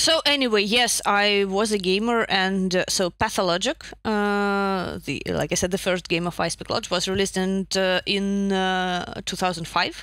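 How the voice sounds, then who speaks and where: A woman with a Russian accent speaks at a moderate pace with hardly any pauses. Her medium pitch shows ordinary variation. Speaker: narrative designer. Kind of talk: casual chat. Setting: video call.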